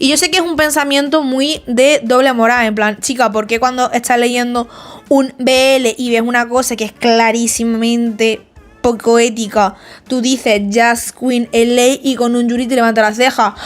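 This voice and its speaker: The speech moves at a fairly slow pace with fairly even intonation. Music can be heard in the background. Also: woman, high pitch for a woman. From Spain, small town. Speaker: manga video essayist. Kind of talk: casual video essay talk to camera. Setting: home, makeshift recording spot. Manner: chatty, informal.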